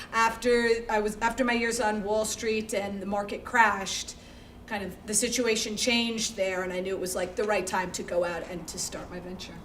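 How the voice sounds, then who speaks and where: Speaking with an American accent, a woman has a fairly high pitch and fairly even intonation at a moderate pace. Audible room echo and noticeable background noise fill the recording. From Connecticut, US (Greenwich). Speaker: startup founder, entrepreneur. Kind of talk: fireside chat interview.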